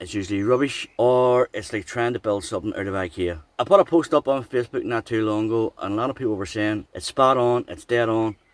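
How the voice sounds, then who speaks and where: Talking very fast with hardly any pauses, a man with an Irish accent keeps ordinary pitch variation on a very clean recording with a silent background. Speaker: travel vlogger. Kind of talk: casual vlog narration.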